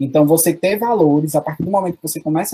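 A somewhat breathy man with a dark, mellow tone, fairly high pitch, ordinary pitch variation and a dry, close sound with no echo. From Paraíba backlands (sertão), Brazil. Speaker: teacher. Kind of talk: interview.

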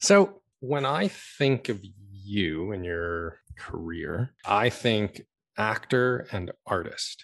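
Over a quiet background, a man talks at a very slow pace, his fairly low voice carrying lively intonation. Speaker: podcast host. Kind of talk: interview. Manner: calm.

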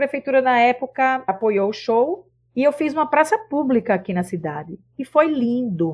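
Against a quiet background, a woman talks at a moderate pace, her high pitch swinging very widely. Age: 50s. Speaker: singer and cultural producer. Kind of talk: casual chat.

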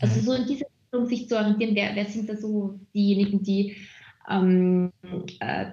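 A woman with a dark, mellow tone speaks at a moderate pace and a medium pitch, sounding somewhat breathy. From Austria, Vienna. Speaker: HR manager and community lead. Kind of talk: interview. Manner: hesitant, many fillers.

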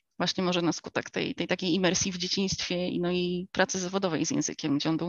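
A woman talks at a very fast pace. Her pitch is fairly low and her intonation fairly even. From United States. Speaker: homeschooling mother. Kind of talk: interview.

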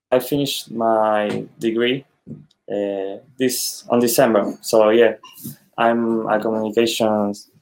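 With a non-native accent, a man speaks at a very slow pace in a medium pitch with monotone, flat intonation. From Argentina, Buenos Aires. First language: Spanish. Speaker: DJ and music producer. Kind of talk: casual interview. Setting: video call. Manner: halting.

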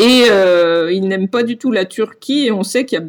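The speaker has a normal speaking voice with ordinary pitch variation. The pace is fairly slow. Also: woman. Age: 40s. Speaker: long-distance cyclist. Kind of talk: interview.

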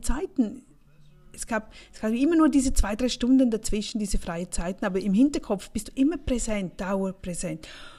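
A woman with a fairly high pitch and a dark, mellow, somewhat breathy tone speaks at a moderate pace, her intonation lively and her loudness swinging widely. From Switzerland, St. Gallen Rhine Valley. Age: 40s. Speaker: podcast host, finance coach for women. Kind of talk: casual monologue.

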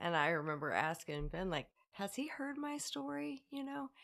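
A bright, sharp tone in an American accent, with very wide pitch swings, a moderate pace, and a very clean recording with a silent background. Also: woman. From US Midwest, Illinois, St. Louis area. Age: 30s. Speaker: recovering addict sharing her story. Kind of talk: casual interview, personal testimony. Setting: at her home.

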